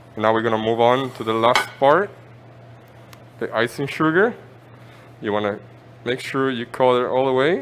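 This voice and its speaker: With long, frequent pauses and noticeable background noise, a man talks at a moderate pace and a medium pitch. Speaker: pizza chef. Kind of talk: cooking demonstration. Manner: halting.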